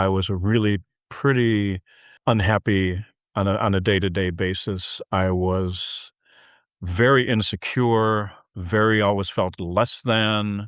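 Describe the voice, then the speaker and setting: Very slowly and at a very even loudness, a man with an American accent speaks, the sound dry and close with no echo. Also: fairly low pitch for a man. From US Midwest, Chicago area. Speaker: filmmaker and producer. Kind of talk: interview. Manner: halting, many repeated words.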